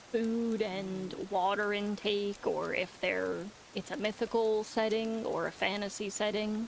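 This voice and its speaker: A woman talks at a medium pitch while noticeable background noise runs underneath. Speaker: livestreamer and author. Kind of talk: casual livestream chat. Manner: halting.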